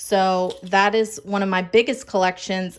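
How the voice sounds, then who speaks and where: Noticeable background noise accompanies speech delivered fairly slowly. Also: woman. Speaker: planner and craft content creator. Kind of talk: room tour vlog. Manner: animated.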